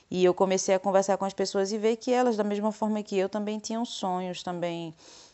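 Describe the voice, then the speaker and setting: A plain, everyday voice moves at a moderate pace with fairly even intonation. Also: woman. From Brazil, Pernambuco. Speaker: French teacher. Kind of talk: interview testimony.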